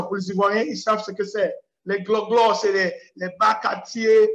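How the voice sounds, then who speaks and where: A man's high-pitched voice at a fairly slow pace, with audible room echo. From Cameroon. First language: English (speaking French). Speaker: preacher. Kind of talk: lecture. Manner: halting. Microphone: unstable internet connection.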